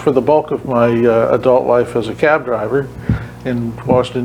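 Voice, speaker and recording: Over noticeable background noise, a man with an American accent speaks at a moderate pace and a medium pitch. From Massachusetts. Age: 60s. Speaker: retired cab driver. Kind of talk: radio interview. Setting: radio studio, live video. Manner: halting, many fillers.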